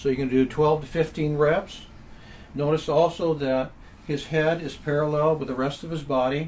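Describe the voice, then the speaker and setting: Flat and monotone, a man's fairly high voice moves at a moderate pace. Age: 70s. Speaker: exercise and back pain instructor. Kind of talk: tutorial. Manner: calm, instructional pacing with breathing cues.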